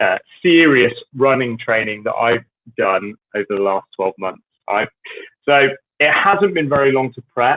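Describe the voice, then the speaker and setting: A man with a British accent speaks at a moderate pace and medium pitch. His intonation is lively, broken by long, frequent pauses. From Britain. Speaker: fitness coach. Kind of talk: solo livestream talk.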